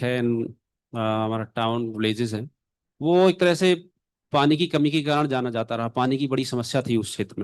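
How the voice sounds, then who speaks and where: A man with an Indian accent, medium pitch and ordinary pitch variation at a moderate pace. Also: quiet background. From central India, Jhansi. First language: Hindi. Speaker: practitioner. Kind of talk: panel presentation. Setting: conference pavilion panel.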